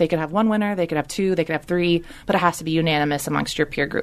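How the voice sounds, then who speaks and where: Her pitch fairly low with ordinary pitch variation, a woman talks in an ordinary speaking voice. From Texas, Houston; moved to LA at eight. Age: 30s. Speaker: choreographer. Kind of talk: casual chat.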